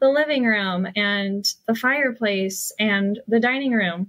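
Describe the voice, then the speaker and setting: Ordinary pitch variation comes with a fairly slow pace. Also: woman. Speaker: hypnotherapist and coach. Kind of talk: casual interview chat. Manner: casual, many fillers.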